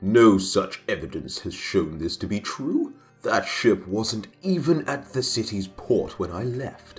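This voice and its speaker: Putting on a character voice at a medium pitch, a man speaks at a fairly slow pace with hardly any pauses. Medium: read story. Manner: proud, angry.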